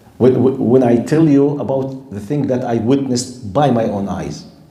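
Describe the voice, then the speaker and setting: In an Arabic accent, a man speaks at a fairly slow pace and medium pitch with ordinary pitch variation, and audible room echo surrounds him. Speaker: Islamic scholar and lecturer. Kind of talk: lecture. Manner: animated.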